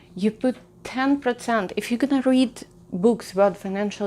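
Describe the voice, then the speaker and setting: Using a non-native accent, a woman speaks at a fairly slow pace with ordinary pitch variation. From outside the US, came to America at 25. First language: not English. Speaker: personal finance YouTuber. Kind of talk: casual advice talk to camera. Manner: conversational, with frequent fillers and restarts.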